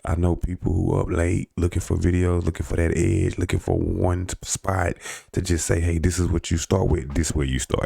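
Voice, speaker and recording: This man's voice is very deep and low, with a dark, mellow tone. He talks at a fairly quick pace. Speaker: credit advice youtuber. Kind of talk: casual tutorial. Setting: at home. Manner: casual, filler-heavy.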